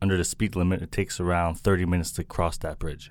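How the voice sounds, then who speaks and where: On a very clean recording with a silent background, a man with a very deep, low voice and an American accent talks at a very fast pace. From US Northeast, Milton, Massachusetts. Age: 30s. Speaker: restaurant and tourism entrepreneur. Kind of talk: interview.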